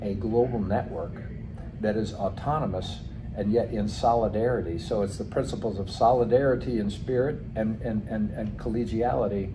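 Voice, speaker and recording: Music plays in the background as a man with an American accent speaks with fairly even intonation. The room echo is audible. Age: 60s. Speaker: lawyer and founder of an international legal network. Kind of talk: interview. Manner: halting, many fillers and repetitions.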